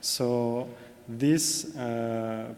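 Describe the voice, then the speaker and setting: A man speaks with a French accent. Noticeable background noise and audible room echo come through. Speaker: corporate sustainability manager. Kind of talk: conference presentation. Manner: hesitant, many fillers.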